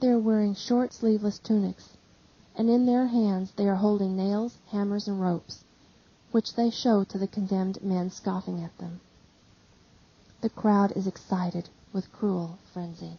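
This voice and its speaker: Somewhat breathy, a woman speaks with fairly even intonation and long, frequent pauses. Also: medium pitch for a woman, moderate pace. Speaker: audiobook reader. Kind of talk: dramatic religious reading.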